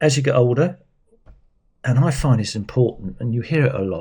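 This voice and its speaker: A man's voice has a dark, mellow tone and is somewhat breathy. He speaks with lively intonation. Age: 60s. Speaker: cycling vlogger. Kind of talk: casual chat. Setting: indoors at home. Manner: rambling, hesitant.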